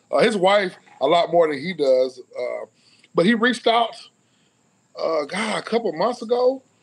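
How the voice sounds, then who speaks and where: Very wide pitch swings mark this moderate-paced delivery in a Southern US accent, broken by long, frequent pauses. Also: man, high pitch for a man. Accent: Southern US (Georgia). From US South (Cedartown, Georgia); Georgia. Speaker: former college football player; guest. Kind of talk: casual interview. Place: home room. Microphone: video call.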